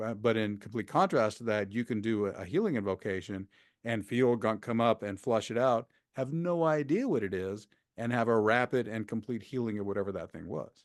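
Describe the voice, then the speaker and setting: Against a quiet background, a man with a plain, everyday voice speaks at a fairly quick pace, with a medium pitch and ordinary pitch variation. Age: 60s. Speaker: shamanic healer and spiritual teacher. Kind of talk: interview.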